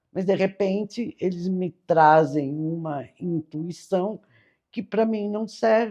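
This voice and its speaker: The tone is dark and mellow, with lively intonation. The pace is very slow, over a quiet background. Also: woman, medium pitch for a woman. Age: 60s. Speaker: spiritual teacher. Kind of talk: casual spiritual talk. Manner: informal, chatty.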